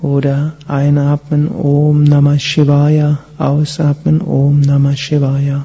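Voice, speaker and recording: The speaker moves at a very slow pace with hardly any pauses. The tone is calm and soothing. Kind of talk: guided meditation. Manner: slow, calm, soothing, with long pauses; soft-spoken, gentle, measured.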